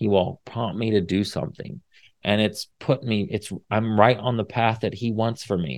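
Speaking with a Midwestern US accent, a man talks at a moderate pace in a fairly low pitch with ordinary pitch variation. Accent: US Midwest. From Indiana. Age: 40s. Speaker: podcast host. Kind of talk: faith-based encouragement talk. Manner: casual, with many fillers.

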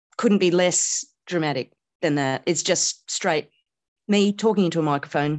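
With an Australian accent, a woman speaks at a moderate pace in a fairly low pitch with ordinary pitch variation. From Australia (Canberra), early childhood in India. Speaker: comedian. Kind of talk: casual chat. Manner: laconic.

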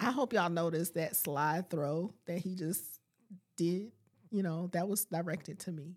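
This woman has an ordinary speaking voice, fairly low in pitch, with ordinary pitch variation at a moderate pace. The recording is very clean, with a silent background. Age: 40s. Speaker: life coach and podcaster. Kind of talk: casual chat. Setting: studio.

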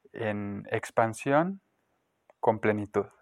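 A man speaks in a dry, close sound with no echo, on a very clean recording with a silent background. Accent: Mexican. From Mexico, León, Guanajuato. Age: 30s. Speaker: spiritual healer and Reiki practitioner. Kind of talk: interview. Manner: hesitant, many fillers.

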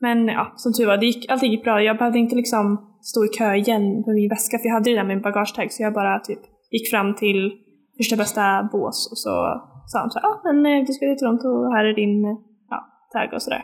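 Moving at a fairly quick pace, a woman speaks at a fairly high pitch with fairly even intonation. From Sweden, Linköping. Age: 20s. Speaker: podcast co-host, exchange student. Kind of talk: casual chat.

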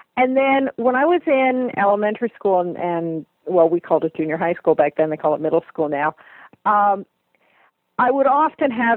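The speaker has an ordinary speaking voice with lively intonation. The pace is moderate. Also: woman. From US, near Lake Erie. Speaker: fantasy author. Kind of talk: interview.

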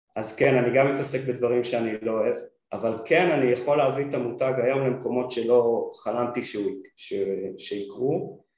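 With audible room echo, a man speaks at a moderate pace and a medium pitch, his intonation fairly even. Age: 40s. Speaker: product designer and brand founder. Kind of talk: interview. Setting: studio.

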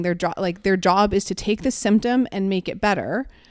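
A woman speaks in a plain, everyday voice at a medium pitch and moderate pace, with ordinary pitch variation. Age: 30s. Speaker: fitness podcast co-host. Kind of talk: casual chat.

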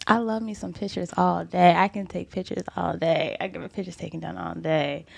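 The woman's tone is animated, at a fairly quick pace. Her loudness swings widely. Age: 20s. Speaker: model. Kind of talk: casual chat.

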